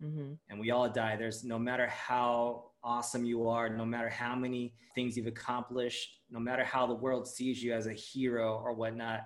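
With monotone, flat intonation and medium pitch, a man talks at a moderate pace. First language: Japanese. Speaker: author and content creator. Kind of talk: casual interview conversation.

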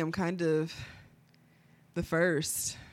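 Very clean recording, silent background, and a woman's fairly low-pitched voice. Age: 20s. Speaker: podcast co-host. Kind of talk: casual chat.

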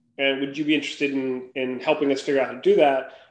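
An ordinary speaking voice from a man, fairly high in pitch, at a fairly quick pace. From Minnesota, US Midwest. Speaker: angel investor and founder. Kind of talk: interview.

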